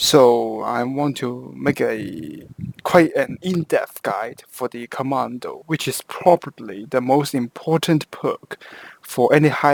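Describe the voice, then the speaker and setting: A man with a Hong Kong accent speaks at a medium pitch with ordinary pitch variation and a fairly slow pace. The sound is dry and close, with no echo. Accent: Hong Kong Cantonese-accented English. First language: Cantonese. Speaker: video game guide creator. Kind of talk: tutorial. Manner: halting, with frequent self-corrections.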